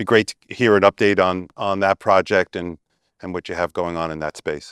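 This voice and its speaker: In a very clean recording with a silent background and a dry, close sound with no echo, a man with an American accent speaks at a moderate pace in a very deep, low voice with fairly even intonation. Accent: Brooklyn, getting stronger. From Brooklyn, New York. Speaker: panel moderator, bank executive. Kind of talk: panel moderation. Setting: stage with live audience.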